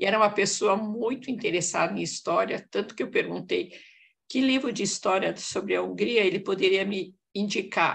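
Vocal fry runs through this woman's speech. She keeps a moderate pace. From Hungarian-born, raised in Brazil. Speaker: audience member. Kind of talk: casual discussion.

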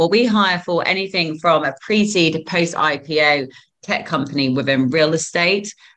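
A woman's fairly low, bright and sharp voice with a southern English accent, lively intonation and a moderate pace. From England. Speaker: recruitment firm co-founder. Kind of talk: interview. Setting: video call. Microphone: video call.

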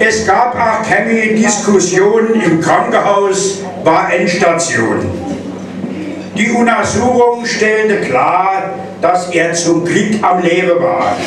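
A man speaks very slowly with a high pitch and fairly even intonation. Audible room echo and noticeable background noise are present. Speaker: carnival speaker. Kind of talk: carnival speech delivered in rhyme (Büttenrede). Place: hall.

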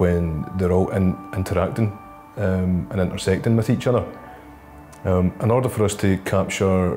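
A man speaks with a very deep, low pitch and fairly even intonation. Faint music plays in the background. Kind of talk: interview answer. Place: meeting room. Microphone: lapel.

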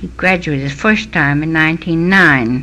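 A woman with an American accent speaks at a moderate pace in a very deep, low voice. Her intonation is fairly even, and there is noticeable background noise. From Connecticut, USA. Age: 80s+. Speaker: local historian, historical society curator. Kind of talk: oral history interview answer.

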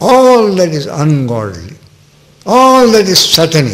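Very wide pitch swings mark the way this man talks. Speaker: spiritual teacher. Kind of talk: sermon. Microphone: podium.

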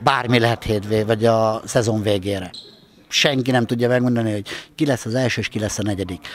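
A man with a normal speaking voice, medium pitch and fairly quick pace. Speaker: handball coach. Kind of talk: post-match interview.

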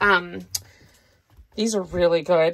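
Slow, fairly even speech from a woman with fairly low pitch and a fairly bright tone

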